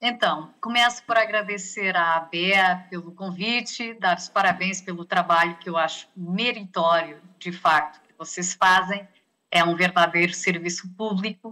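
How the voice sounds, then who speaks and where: The woman talks at a fairly slow pace with hardly any pauses and fairly even intonation. Her loudness swings a lot. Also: medium pitch for a woman. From Portugal. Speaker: health sector negotiation expert, lecturer. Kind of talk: lecture. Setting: video call.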